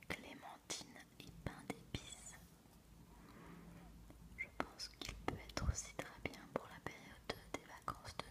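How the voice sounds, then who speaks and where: Long, frequent pauses break up a whisper that moves at a very slow pace. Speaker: ASMR creator. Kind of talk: ASMR book presentation, soft-spoken talk to camera. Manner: soft-spoken, whispering. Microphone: studio mic.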